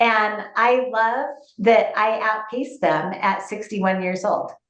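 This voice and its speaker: A woman's fairly high voice at a very slow pace, with fairly even intonation and audible room echo. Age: 60s. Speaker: real estate agent. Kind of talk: interview.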